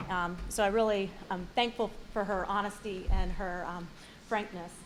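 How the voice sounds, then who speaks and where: A woman with an American accent speaks at a medium pitch in a monotone, flat intonation, with audible room echo. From South Carolina, Fort Mill. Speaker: hall of fame inductee. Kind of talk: acceptance speech. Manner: fast; hesitant, many fillers.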